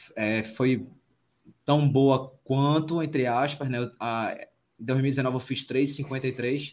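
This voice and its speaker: A man talks at a very slow pace. His pitch sits fairly high. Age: 40s. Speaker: podcast host, amateur runner. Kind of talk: casual chat.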